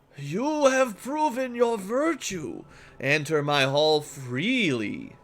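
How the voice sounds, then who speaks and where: This man uses a put-on character voice, high in pitch with very wide pitch swings. He speaks at a very slow pace. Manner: solemn, commanding.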